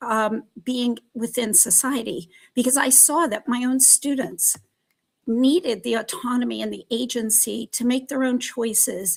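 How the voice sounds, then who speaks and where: An unremarkable speaking voice from a woman, fairly high in pitch, at a moderate pace, with ordinary pitch variation. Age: 60s. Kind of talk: panel discussion. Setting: live stream.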